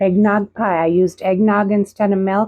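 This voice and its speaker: A woman with a dark, mellow tone speaks at a fairly slow pace in a dry, close sound with no echo. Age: 60s. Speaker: cooking channel host. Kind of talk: casual cooking vlog. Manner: casual, chatty.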